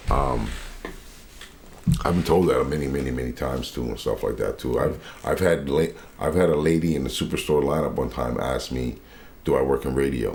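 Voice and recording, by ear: A man speaks at a moderate pace with an extremely low pitch, vocal fry and a raspy, slightly mellow tone. His pitch varies in an ordinary way, and he takes long, frequent pauses.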